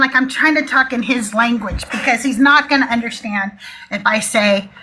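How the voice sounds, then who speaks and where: Over noticeable background noise, a woman speaks in a raised, projected voice at a moderate pace, her tone animated and her intonation lively. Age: 60s. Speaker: atheist call-in show host. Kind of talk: live call-in chat. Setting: live stream.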